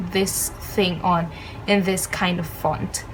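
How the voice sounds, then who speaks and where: A woman talks with a non-native accent and fairly even intonation. Noticeable background noise can be heard. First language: not English. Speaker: studygram and lettering creator. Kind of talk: tutorial. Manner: hesitant, many filler ums.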